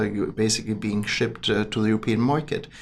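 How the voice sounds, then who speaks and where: With a German accent and audible room echo, a man speaks at a fairly quick pace in a fairly low pitch, his intonation monotone and flat. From Germany. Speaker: business chamber president. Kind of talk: podcast interview. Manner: hesitant, many fillers.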